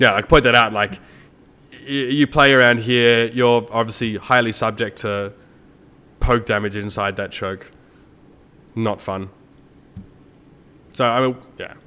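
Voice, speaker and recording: Speaking with an Australian accent, a man uses a medium pitch and fairly even intonation. His pace is fairly slow, with long, frequent pauses. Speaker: esports caster. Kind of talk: casual commentary on a stream. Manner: casual, many fillers.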